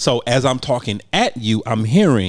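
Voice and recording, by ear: Against a silent background in a very clean recording, a man with a medium pitch makes big pitch swings. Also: moderate pace.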